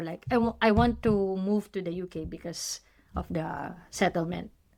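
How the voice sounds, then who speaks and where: A fairly slow voice with a Filipino accent, fairly even intonation, and big swings in loudness, on a very clean recording with a silent background. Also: woman. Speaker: nurse podcast co-host. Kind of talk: casual chat.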